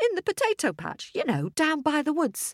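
Using a put-on character voice, a woman talks at a moderate pace in a high register with very wide pitch swings, the sound dry and close with no echo.

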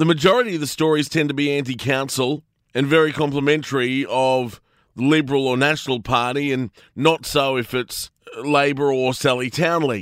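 A man with an Australian accent at a moderate pace. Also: fairly even intonation. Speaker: radio host. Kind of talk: radio commentary.

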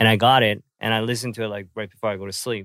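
The speech comes at a fairly quick pace, with a dry, close sound with no echo on a very clean recording with a silent background. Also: man. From South Korea, then Vancouver, Canada. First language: Korean. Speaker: podcast host and rapper. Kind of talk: casual chat. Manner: hesitant, many fillers.

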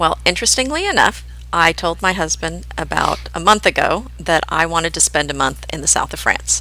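At a moderate pace, a woman speaks with hardly any pauses. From Oklahoma-born, raised in New Jersey and Pennsylvania. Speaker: podcast host, home decorating blogger. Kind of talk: casual chat, podcast conversation.

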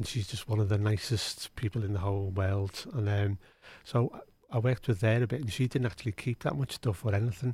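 With a Liverpool accent, a man speaks at a fairly low pitch in a dark, mellow, somewhat breathy tone, the sound dry and close with no echo. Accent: Scouse. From Liverpool, England. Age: 60s. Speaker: music strategy official. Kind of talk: casual interview. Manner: halting, repetitive.

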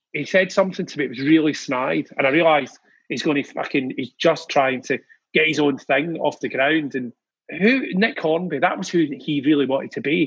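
A man with a Glaswegian accent speaks at a fairly quick pace, his pitch fairly high with ordinary variation. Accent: Glaswegian Scottish. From Scotland, Glasgow. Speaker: music industry figure. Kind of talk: casual chat. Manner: animated.

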